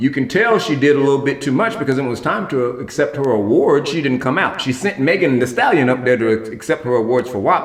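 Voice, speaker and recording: A man's animated, fairly high voice at a fairly quick pace, with noticeable background noise. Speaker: talk show host. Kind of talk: solo entertainment commentary vlog. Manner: fast.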